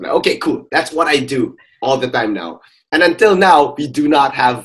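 Vocal fry marks this man's voice. The pitch swings very widely. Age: 30s. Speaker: podcast host. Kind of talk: casual chat.

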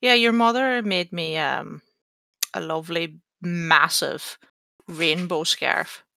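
A woman speaks very slowly in an Irish accent, leaving long, frequent pauses. Her fairly low voice has lively intonation and a bright, sharp tone. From Ireland. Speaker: podcast host. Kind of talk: casual chat.

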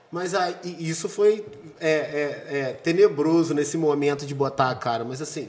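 A man's fairly high voice comes through at a fairly slow pace, with noticeable background noise behind it. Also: ordinary pitch variation. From Brazil, Juiz de Fora. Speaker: event organizer. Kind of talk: casual chat.

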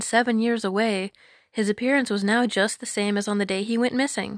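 Heard on a very clean recording with a silent background, a woman with a plain, everyday voice talks at a fairly quick pace, her fairly high pitch held in fairly even intonation. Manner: storyteller's measured, lilting narration.

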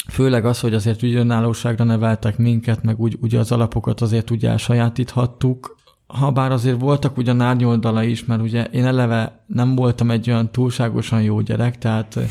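At a fairly quick pace, a man of medium pitch speaks in a dark, mellow tone with monotone, flat intonation and very even loudness. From Hungary, Budapest. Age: 20s. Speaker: blind software developer and athlete. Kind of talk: interview.

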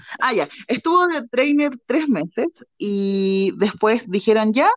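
In a dry, close recording with no echo and a quiet background, a woman with a Chilean accent speaks at a fairly high pitch with lively intonation. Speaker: podcast co-host. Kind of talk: casual chat. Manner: laughs often, overlapping talk.

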